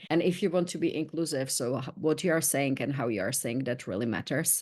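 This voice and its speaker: In a quiet background, a woman with a Czech accent speaks at a very deep, low pitch with lively intonation. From Czech Republic. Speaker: learning experience manager. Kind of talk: podcast interview.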